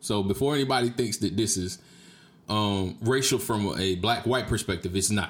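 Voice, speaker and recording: A man with an American accent, a plain, everyday voice. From Jacksonville, Florida (Duval County). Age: 30s. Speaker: podcast host. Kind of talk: casual solo monologue, storytelling. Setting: streamed live on Facebook video.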